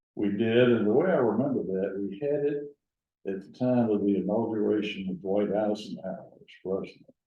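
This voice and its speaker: There is audible room echo around a man whose fairly low voice shows ordinary pitch variation. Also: moderate pace, big swings in loudness. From US South, Gadsden, north Alabama. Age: 80s+. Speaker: retired lawyer. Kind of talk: oral history interview.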